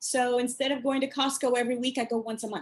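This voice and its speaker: Over a quiet background, a woman speaks with a high pitch. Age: 60s. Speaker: author and course creator. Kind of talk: interview.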